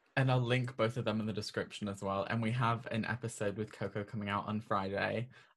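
Talking at a very fast pace, a man with a fairly low, somewhat breathy voice keeps a monotone, flat intonation on a very clean recording with a silent background. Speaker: podcast host. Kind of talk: casual chat.

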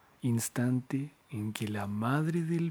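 This man talks at a very slow pace in a solemn tone. His pitch is medium, with ordinary variation. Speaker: podcast storyteller. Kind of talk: scripted horror narration, ghost story telling. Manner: slow, solemn, hushed and eerie, with ornate literary phrasing; formal, dramatic and brooding.

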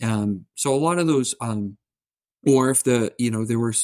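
In a Canadian accent, a man with a normal speaking voice talks fairly quickly at medium pitch, the sound dry and close with no echo. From southern Ontario, Canada. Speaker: energy industry consultant. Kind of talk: interview.

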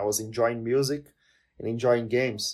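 A man with a Portuguese accent on a very clean recording with a silent background. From Brazil. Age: 20s. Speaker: language content creator and polyglot. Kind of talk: casual interview chat.

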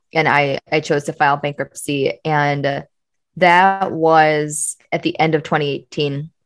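Her voice very deep and low, a woman speaks in a flat monotone. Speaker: entrepreneur and coach. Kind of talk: interview.

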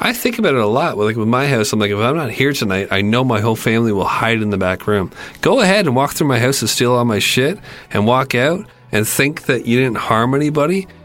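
Medium-pitched male voice at a very fast pace, lively in intonation and very even in loudness, against noticeable background noise. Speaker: podcast co-host. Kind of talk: casual comedic commentary.

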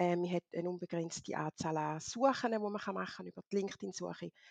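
In an ordinary speaking voice, a woman talks at a moderate pace with fairly low pitch, recorded dry and close with no echo. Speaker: LinkedIn consultant. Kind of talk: interview.

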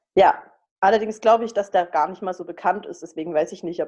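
A woman's medium-pitched voice, dark and mellow in tone, with fairly even intonation over a quiet background. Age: 20s. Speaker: student podcast co-host. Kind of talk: casual chat.

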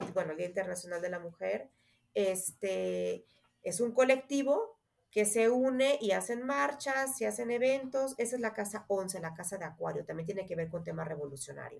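A woman with an ordinary speaking voice talks at a fairly high pitch with lively intonation. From Mexico. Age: 30s. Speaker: astrologer. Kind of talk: interview.

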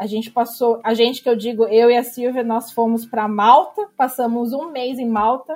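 Speaking with a Brazilian accent, a woman with a fairly high pitch keeps a moderate pace, fairly even intonation and hardly any pauses. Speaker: blogger and emigrant. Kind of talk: interview.

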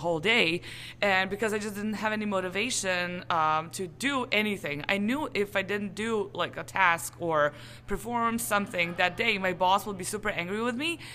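Speaking in a Serbian accent, a woman keeps a moderate pace and a medium pitch with ordinary variation. Her tone is bright and sharp. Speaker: translation business owner. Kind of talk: interview. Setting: conference.

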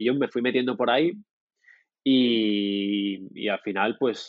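A man is talking. He keeps his intonation fairly even. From Murcia, southern Spain. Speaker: product designer. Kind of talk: interview conversation. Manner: halting, many repetitions.

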